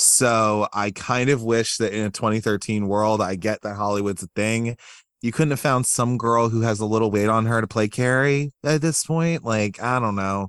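With a plain, everyday voice, a man speaks at a moderate pace and medium pitch with ordinary pitch variation and hardly any pauses over a quiet background. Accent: American. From US, Baltimore area. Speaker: horror film podcaster. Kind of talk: casual chat.

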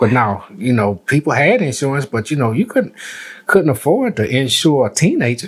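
A somewhat breathy man at a fairly high pitch and moderate pace, with very wide pitch swings. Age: 60s. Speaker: retired postmaster and navy veteran. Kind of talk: casual chat.

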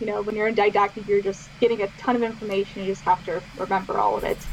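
Against noticeable background noise, a woman with an American accent talks at a fairly high pitch. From Pittsburgh area, US. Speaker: physician assistant student. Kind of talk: casual interview.

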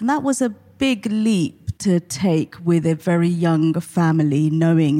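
A woman speaks with a southern English accent and a dark, mellow tone. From Portsmouth, southern England. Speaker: mental health charity CEO. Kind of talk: interview.

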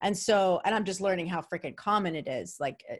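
A woman talks at a fairly quick pace in a New York accent. Her voice is medium-pitched against a quiet background. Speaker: podcast host. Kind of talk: solo podcast intro; casual interview.

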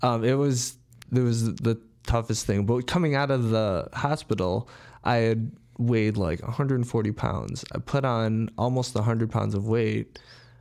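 In a very clean recording with a silent background, a man with an American accent speaks in a plain, everyday voice at medium pitch, with fairly even intonation and very even loudness. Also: moderate pace. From Chicago, north side. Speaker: personal trainer. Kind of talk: interview.

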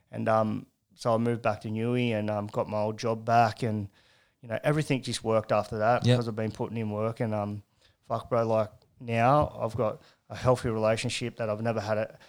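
In a very clean recording with a silent background, a man with an Australian accent speaks fairly quickly at a medium pitch, his intonation monotone and flat. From Newcastle, New South Wales, Australia. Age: 30s. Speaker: recovering addict sharing his story. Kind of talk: testimony. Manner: casual, swears a lot.

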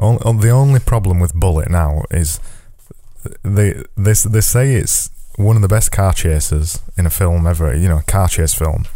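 A man's very deep, low pitch and dark, mellow tone, with ordinary pitch variation, very even loudness, moderate pace and audible room echo. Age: 20s. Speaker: podcast host and graphic designer. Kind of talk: casual chat.

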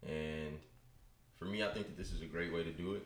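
A man with an American accent and a very deep, low pitch keeps a fairly even intonation amid audible room echo. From US West Coast, Bay Area (Richmond, California). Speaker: sports broadcasting assistant. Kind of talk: casual interview chat. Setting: studio.

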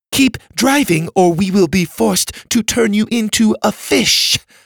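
Someone does a put-on character voice at a moderate pace. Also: man, high pitch for a man. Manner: threatening.

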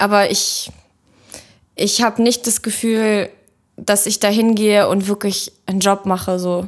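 A woman at a medium pitch, fairly slow and monotone with flat intonation, with long, frequent pauses. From Kazakhstan, moved to Germany at six. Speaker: photographer. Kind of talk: casual chat.

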